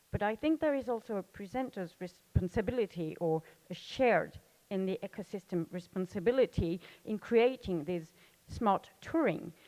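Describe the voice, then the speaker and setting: In a dry, close recording with no echo, a woman speaks at a medium pitch and a moderate pace, her tone dark and mellow and her intonation lively. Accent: French. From France. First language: French. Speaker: audience member asking a question. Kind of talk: audience question at panel. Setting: conference session with audience. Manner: halting.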